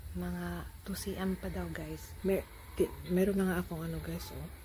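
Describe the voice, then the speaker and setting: Quietly and at a very slow pace, a woman speaks with audible room echo around her voice. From Philippines. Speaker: vlogger. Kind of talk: vlog update. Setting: hospital. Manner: quiet, low volume.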